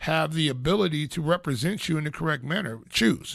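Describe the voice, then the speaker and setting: A man's fairly high voice at a fairly quick pace, on a very clean recording with a silent background. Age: 60s. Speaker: radio talk show host. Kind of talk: casual radio talk. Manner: halting, many fillers.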